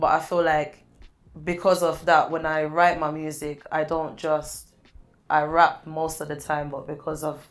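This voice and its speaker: A woman with a very deep, low pitch speaks at a fairly slow pace in a monotone, flat intonation. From Jamaica. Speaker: rapper. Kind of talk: interview. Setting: studio interview. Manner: casual, hesitant.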